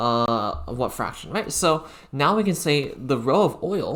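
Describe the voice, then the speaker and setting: His pitch swings very widely. The speaker is a man. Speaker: physics club lecturer. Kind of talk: online physics lecture. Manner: casual, many filler words.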